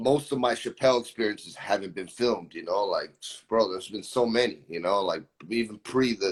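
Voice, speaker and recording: This is an ordinary speaking voice with an American accent. The pace is fairly quick. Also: man. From Florida, Brazilian family. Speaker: musician. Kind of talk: casual chat.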